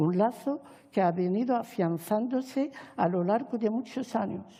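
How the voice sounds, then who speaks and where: Speaking at a fairly slow pace, a woman with a fairly high voice sounds somewhat breathy, with ordinary pitch variation and very even loudness. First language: Arabic (speaking Spanish). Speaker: Hispanist academic and poet. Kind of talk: formal speech at a panel. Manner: formal.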